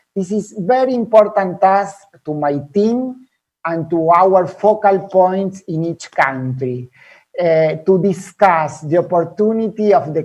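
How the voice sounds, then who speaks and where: The speaker has a non-native accent and talks at a fairly slow pace against a quiet background. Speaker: health education program manager. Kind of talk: webinar presentation. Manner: halting, many repetitions and fillers.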